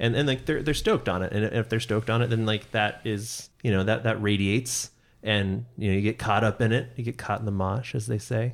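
A man with an American accent and an ordinary speaking voice talks at a medium pitch and a fairly quick pace with hardly any pauses, on a very clean recording with a silent background. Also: fairly even intonation. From US Pacific Northwest (Seattle). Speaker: podcast host. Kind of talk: casual chat.

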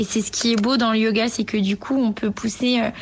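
Noticeable background noise sits behind this woman's voice. Her pitch is fairly high and her intonation fairly even. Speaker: yoga teacher. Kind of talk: voice note testimony.

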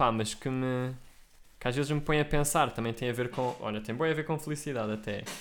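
In an ordinary speaking voice, a man talks at a fairly quick pace with medium pitch and fairly even intonation. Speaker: podcast co-host. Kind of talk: casual chat.

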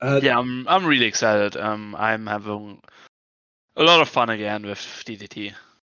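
A man with an unremarkable speaking voice and fairly low pitch talks at a moderate pace. His pitch varies in an ordinary way. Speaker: wrestling podcast co-host. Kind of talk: casual chat.

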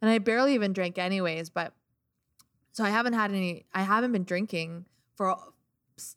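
A woman speaks in an American accent with a bright, sharp tone and fairly even intonation. The recording is very clean, with a silent background. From US Midwest, small-town Illinois. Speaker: DJ. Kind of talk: casual chat.

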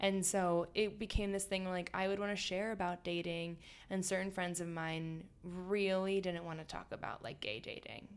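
A woman with an American accent speaks at a moderate pace and a medium pitch. Hers is an ordinary speaking voice with fairly even intonation. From US, suburban Philadelphia. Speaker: food blogger. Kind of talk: casual chat. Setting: in an apartment, face to face.

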